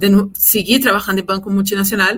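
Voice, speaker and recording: A woman's bright, sharp voice with a Portuguese accent. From Brazil. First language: Portuguese (speaking Spanish). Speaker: compliance executive. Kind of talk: interview.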